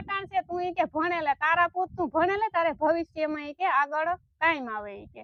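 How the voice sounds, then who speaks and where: A woman's voice at an extremely high pitch. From Saurashtra, Gujarat (Bagasara area). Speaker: village social media creator. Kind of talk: casual interview chat.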